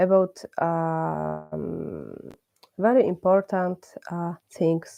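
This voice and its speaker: A woman with a Polish accent speaks at a very slow pace over music in the background. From Poland. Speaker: religious class teacher. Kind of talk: religious class. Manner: halting, many hesitations.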